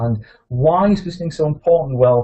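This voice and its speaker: Somewhat breathy, a man speaks at a very fast pace in a northeast English accent, with ordinary pitch variation. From northeast England. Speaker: veterinary practice consultant and author. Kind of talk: webinar presentation. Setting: webinar call.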